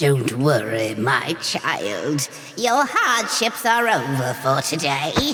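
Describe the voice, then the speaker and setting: In a put-on character voice at low-to-middle pitch, the speaker moves very slowly with very wide pitch swings. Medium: game stream. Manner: gruff but kindly.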